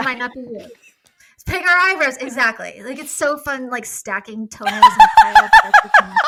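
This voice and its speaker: Raising and projecting her voice, a woman with high pitch talks at a moderate pace with very wide pitch swings. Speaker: mental health clinician discussing psychology. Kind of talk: casual conversational with clinical terms. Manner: sassy, clinical delivery.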